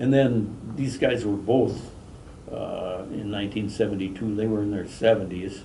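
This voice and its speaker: Audible room echo surrounds a man speaking at a moderate pace with a fairly low pitch and fairly even intonation. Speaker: fishing lure company president. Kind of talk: interview.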